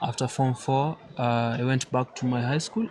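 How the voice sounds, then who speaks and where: Noticeable background noise sits behind a man's voice. He speaks at medium pitch and a moderate pace. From Kenya, Nyeri. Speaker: chess player. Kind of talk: interview.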